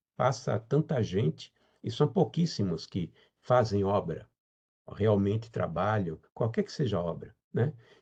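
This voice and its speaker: A man talks at a fairly slow pace with fairly low pitch and lively intonation. His tone is dark and mellow, somewhat breathy. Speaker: spiritist lecturer. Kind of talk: lecture.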